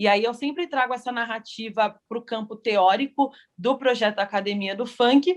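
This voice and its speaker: A woman's ordinary speaking voice, fairly high with ordinary pitch variation, comes at a moderate pace against a quiet background. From São Paulo, east zone. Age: 30s. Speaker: funk dancer and researcher. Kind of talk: panel self-introduction.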